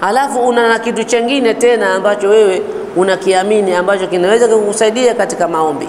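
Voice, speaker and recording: A man with a Swahili accent, high pitch, ordinary pitch variation and a very fast pace, with light background noise and audible room echo. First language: Swahili (speaking Arabic). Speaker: Islamic teacher. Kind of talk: religious lecture. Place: home room. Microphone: lapel.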